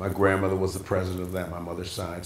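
Very deep and low, a man's voice comes through audible room echo over light background noise. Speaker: interview guest, pastor. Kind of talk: interview answer. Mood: warm, reminiscing, some laughs. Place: home room.

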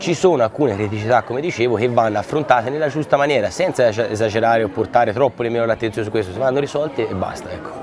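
A man talks at a very fast pace with hardly any pauses, his pitch medium. Crowd noise runs in the background. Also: ordinary pitch variation. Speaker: local politician. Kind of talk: TV interview.

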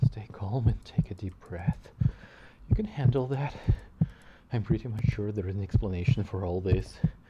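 There is loud noise in the background. A man talks with ordinary pitch variation. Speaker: game streamer. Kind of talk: reading game dialogue aloud, gaming commentary. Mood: nervous, jumpy.

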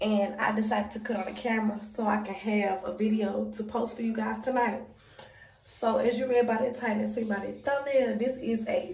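There is audible room echo and light background noise as a woman speaks with fairly even intonation. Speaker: mom vlogger. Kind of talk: casual vlog chat. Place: home room. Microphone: phone near.

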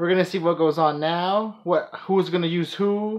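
A man talks at a moderate pace with a high pitch for a man and fairly even intonation. The background is quiet. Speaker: anime reaction vlogger. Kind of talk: casual reaction commentary. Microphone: phone near.

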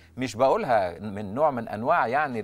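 A man's voice shows very wide pitch swings. Vocal fry is also present. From Egypt. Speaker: ENT doctor; guest. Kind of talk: TV interview. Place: studio. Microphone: lapel.

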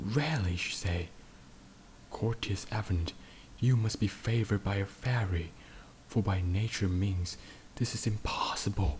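A soft-spoken, somewhat breathy man, fairly low-pitched, at a fairly slow pace with long, frequent pauses and ordinary pitch variation. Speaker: podcaster. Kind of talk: sleep story.

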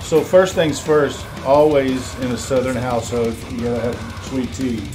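With music in the background, a man talks at a fairly slow pace and ordinary pitch variation. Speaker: home cook host. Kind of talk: casual cooking demonstration. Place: kitchen.

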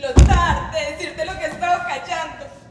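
Over light background noise and audible room echo, a woman speaks at an extremely high pitch. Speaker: stage actress. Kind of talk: dramatic theatre monologue. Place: stage.

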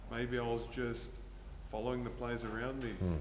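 Moderate-paced male speech, with noticeable background noise behind it. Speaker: guest. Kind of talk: interview answer. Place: gym. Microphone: lapel.

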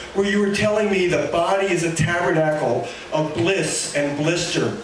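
A man talks slowly in a high voice. Audible room echo and light background noise surround him. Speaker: poet. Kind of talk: poetry reading, performed with dry wit and mock-grand diction. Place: cafe.

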